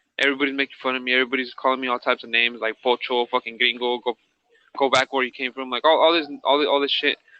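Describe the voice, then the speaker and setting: This man speaks at a very fast pace. His pitch is medium. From US, Mexican-American (childhood partly in Mexico). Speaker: former inmate telling life story. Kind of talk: podcast interview, personal testimony. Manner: casual, halting with repetitions.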